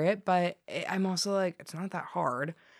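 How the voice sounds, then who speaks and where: In a very clean recording with a silent background, the speaker uses a General American accent, a fairly quick pace and fairly even intonation. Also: woman. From US West (Colorado). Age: 20s. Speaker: journalist. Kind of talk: interview. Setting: studio. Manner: subdued.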